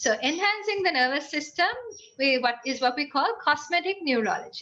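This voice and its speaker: Raising and projecting her voice, a woman speaks at a high pitch with a bright, sharp tone and very wide pitch swings. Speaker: university lecturer and engineer. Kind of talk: lecture. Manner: fast.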